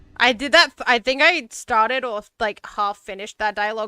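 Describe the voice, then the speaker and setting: The speaker has an Australian accent and a bright, sharp tone. Delivery is animated at a moderate pace. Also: woman. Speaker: VTuber streamer. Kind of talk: livestream gaming chat.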